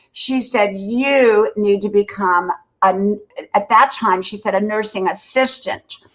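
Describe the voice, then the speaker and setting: Her pitch fairly high, a woman with a normal speaking voice talks at a fairly slow pace with fairly even intonation. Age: 60s. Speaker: content creator and former nurse. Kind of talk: livestream interview, casual chat.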